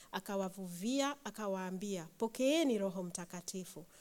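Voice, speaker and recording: A woman with a plain, everyday voice speaks at a medium pitch and a fairly slow pace, using ordinary pitch variation. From Kenya. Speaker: churchgoer reading scripture. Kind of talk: reading aloud.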